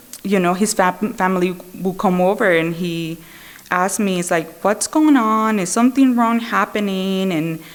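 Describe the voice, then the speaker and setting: Speaking at a fairly slow pace with a non-native accent, the woman has a medium pitch and ordinary pitch variation. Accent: foreign. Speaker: Al-Anon speaker. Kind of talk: recovery testimony. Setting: speaker meeting with audience. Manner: conversational, many fillers.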